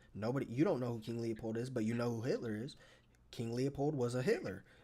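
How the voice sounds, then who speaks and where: A man talks at a fairly quick pace in an animated tone. His pitch is medium. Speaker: live streamer. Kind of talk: heated debate. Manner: fast.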